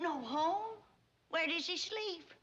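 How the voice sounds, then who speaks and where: A put-on character voice in an Appalachian accent, lively in intonation, with audible echo. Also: woman, extremely high pitch for a woman. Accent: rural Southern mountain. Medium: short film. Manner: brisk, sharp-tongued.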